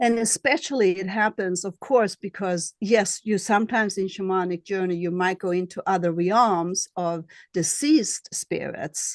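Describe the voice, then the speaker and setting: Recorded dry and close with no echo against a quiet background, a woman with a slight Swedish accent and medium pitch speaks at a moderate pace with ordinary pitch variation and hardly any pauses. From Sweden. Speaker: astrologer and shamanic healer. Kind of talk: interview. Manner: halting.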